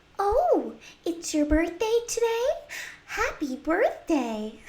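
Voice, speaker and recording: In a put-on character voice, a female-sounding speaker talks at an extremely high pitch and a very slow pace, with very wide pitch swings. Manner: sweet, cheerful.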